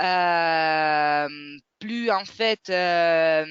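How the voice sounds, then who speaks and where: A woman's fairly low voice with a non-native accent. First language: not French (speaking French). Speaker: webinar moderator. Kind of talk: webinar closing remarks. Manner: halting, many hesitations.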